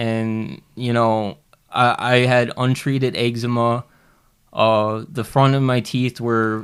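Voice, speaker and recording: On a very clean recording with a silent background, a man speaks very slowly in a monotone, flat intonation at medium pitch. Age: 30s. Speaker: recovering addict training as a cook. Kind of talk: casual interview, personal testimony. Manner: halting, many fillers.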